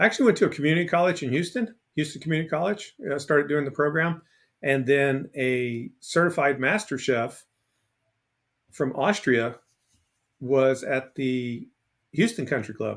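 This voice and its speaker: With an American accent and a fairly high pitch, a man speaks at a moderate pace with ordinary pitch variation and long, frequent pauses in a very clean recording with a silent background. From US South, Port Arthur, Texas. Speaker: author, speaker and former chef. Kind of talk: casual interview.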